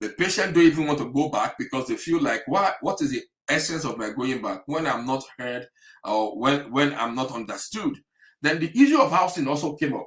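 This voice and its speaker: A man with an African accent at a fairly high pitch, ordinary pitch variation and a fairly quick pace. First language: an African language. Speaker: health practitioner. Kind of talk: webinar talk. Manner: animated.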